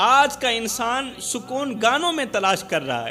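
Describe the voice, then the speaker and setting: A man speaks in a raised, projected voice. Music plays in the background. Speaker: Islamic preacher. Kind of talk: emotional Urdu religious sermon. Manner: emotional, passionate, storytelling.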